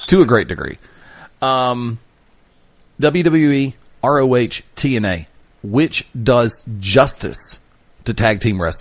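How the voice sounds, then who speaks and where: This man talks very slowly, leaving long and frequent pauses. His medium pitch rises and falls in a lively way. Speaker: wrestling radio show host interviewer. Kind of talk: interview question, talk radio.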